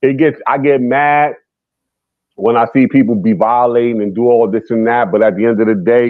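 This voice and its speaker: A man with a New York accent, medium pitch, ordinary pitch variation and a moderate pace. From New York City, the Bronx. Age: 50s. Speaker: guest on a hip hop talk stream. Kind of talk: casual debate. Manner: animated.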